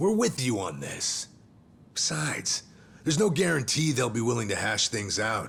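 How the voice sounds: A man's put-on character voice at a medium pitch, fairly bright in tone, with vocal fry, big pitch swings and a fairly slow pace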